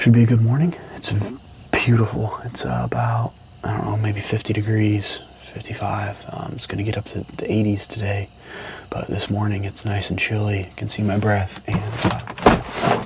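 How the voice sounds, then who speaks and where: Someone whispers at a moderate pace with noticeable background noise. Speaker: hunting vlogger. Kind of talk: outdoor vlog narration. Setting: outdoors in the woods. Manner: whispering.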